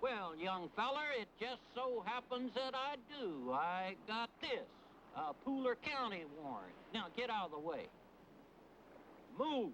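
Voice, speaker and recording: A man speaks in a put-on character voice, extremely high-pitched and drawling at a fairly slow pace. His pitch swings very widely over clear background noise. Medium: short film. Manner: folksy drawl, ungrammatical.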